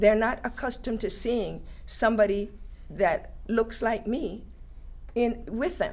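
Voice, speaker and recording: A woman talks at a fairly high pitch with ordinary pitch variation. Her pace is fairly slow, broken by long, frequent pauses. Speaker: teacher. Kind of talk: panel discussion. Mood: earnest, engaged. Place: studio.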